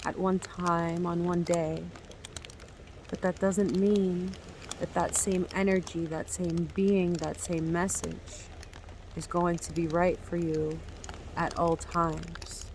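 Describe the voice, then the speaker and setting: Soft-spoken and fairly low-pitched, a woman speaks at a very slow pace with flat, monotone intonation and long, frequent pauses over noticeable background noise. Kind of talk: ASMR spiritual healing meditation. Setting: outdoors by the sea, with rain and waves.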